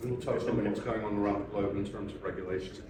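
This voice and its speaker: Noticeable background noise and audible room echo accompany speech delivered at a fairly quick pace. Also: man. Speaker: panel moderator, investment manager. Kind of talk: conference panel discussion. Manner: loud.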